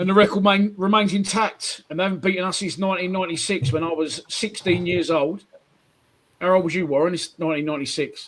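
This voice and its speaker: A man's high-pitched, very fast speech with ordinary pitch variation over music in the background. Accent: South London. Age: 40s. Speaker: football podcast host. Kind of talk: casual chat. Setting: livestream. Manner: animated.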